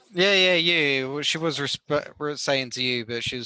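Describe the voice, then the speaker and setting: In a bright, sharp tone, a man speaks at a fairly slow pace. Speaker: forex trader mentor. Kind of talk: casual group chat on trading.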